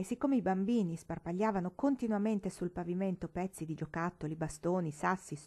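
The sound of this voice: The delivery comes in an unforced reading voice.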